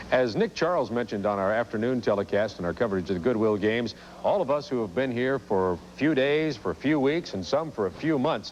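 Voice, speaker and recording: A man speaks fairly quickly, his pitch swinging very widely, with noticeable background noise behind him. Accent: American. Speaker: sports broadcaster. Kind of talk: sports broadcast presenting.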